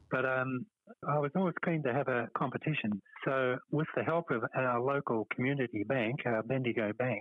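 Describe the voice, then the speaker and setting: With a Perth accent, a man of medium pitch talks at a moderate pace and very even loudness. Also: ordinary pitch variation. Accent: Australian, Perth accent still present. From Western Australia (Perth). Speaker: petanque club organiser. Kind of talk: casual interview. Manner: hesitant, with fillers.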